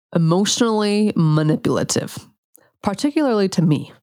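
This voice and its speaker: With an American accent, a woman at medium pitch speaks at a moderate pace in an animated tone with very wide pitch swings. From US, Utah (rural central Utah). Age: 30s. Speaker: functional medicine practitioner and podcast host. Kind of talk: personal monologue.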